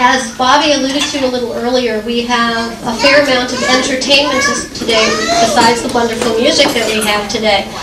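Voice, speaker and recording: A loud voice comes at a moderate pace with fairly even intonation. Crowd noise sits in the background, and the room echo is audible. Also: woman. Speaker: daughter of the couple giving a speech. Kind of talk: family party speech. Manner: hesitant, many fillers. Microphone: too loud, echoing.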